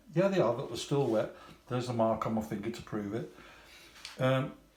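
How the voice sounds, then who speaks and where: A medium-pitched man with a British accent and ordinary pitch variation, in audible room echo. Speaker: scale model hobbyist YouTuber. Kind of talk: product unboxing review. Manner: halting, repeats words.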